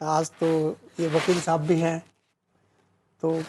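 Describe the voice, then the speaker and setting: This woman's pitch sits fairly low. Her tone is dark and mellow. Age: 60s. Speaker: lawyer and poet. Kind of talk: interview. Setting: literary festival.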